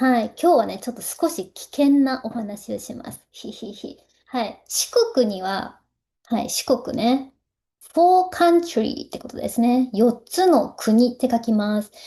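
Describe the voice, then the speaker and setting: The woman's voice is high-pitched yet dark and mellow in tone. She talks at a fairly slow pace with big swings in loudness. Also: lively intonation. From Ehime, Shikoku, Japan. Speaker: Japanese language teacher and culture vlogger. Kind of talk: casual talk to camera.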